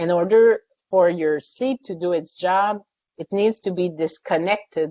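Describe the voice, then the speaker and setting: Speaking with a French accent, a woman with a fairly low pitch talks at a fairly slow pace, with ordinary pitch variation. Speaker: sleep scientist and psychology professor. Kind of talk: webinar Q&A answers.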